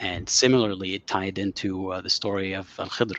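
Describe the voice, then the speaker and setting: At a moderate pace, a man with an Arabic accent speaks in a very deep, low pitch, recorded dry and close with no echo against a quiet background. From Saudi Arabia. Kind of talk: interview. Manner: hesitant, many fillers.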